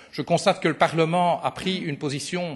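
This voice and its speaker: Here a man talks in an ordinary speaking voice at a moderate pace. His pitch is fairly high, with ordinary variation. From Belgium. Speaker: politician. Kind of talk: parliamentary committee questioning. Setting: committee meeting.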